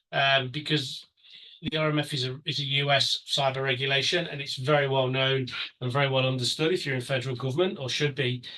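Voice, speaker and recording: A man talks at a fairly quick pace with a fairly high pitch and a bright, sharp tone. His intonation is monotone and flat. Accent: British. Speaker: cybersecurity consultant and webinar presenter. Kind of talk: webinar presentation. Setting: online webinar. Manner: halting, many fillers.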